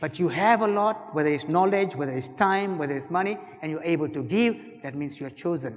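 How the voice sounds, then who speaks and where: Talking at a moderate pace, a man keeps his intonation lively. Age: 60s. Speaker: keynote speaker. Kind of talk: motivational keynote speech.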